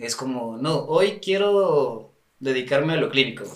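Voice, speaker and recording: A man speaks at a fairly slow pace in a fairly high pitch. Room echo can be heard around him. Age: 30s. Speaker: sports nutritionist. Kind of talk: casual chat.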